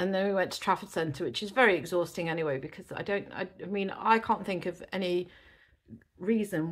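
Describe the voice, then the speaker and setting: On a very clean recording with a silent background, a woman with an English accent speaks at a moderate pace with ordinary pitch variation. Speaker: eBay reseller. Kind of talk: casual vlog talk to camera.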